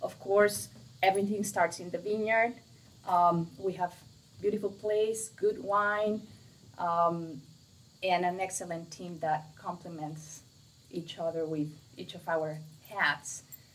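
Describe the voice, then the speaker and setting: Speaking very slowly with long, frequent pauses, a woman with a Mexican accent uses a fairly low pitch, ordinary pitch variation, and big swings in loudness. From Mexico. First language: Spanish. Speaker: winery co-owner. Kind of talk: casual chat.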